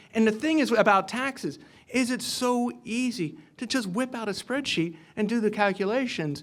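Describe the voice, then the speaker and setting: Speaking with an American accent, a man talks at a moderate pace. His pitch is high, with ordinary variation. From US Midwest (Cincinnati, Ohio). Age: 50s. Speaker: economist. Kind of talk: Q&A after a lecture. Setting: luncheon event with audience.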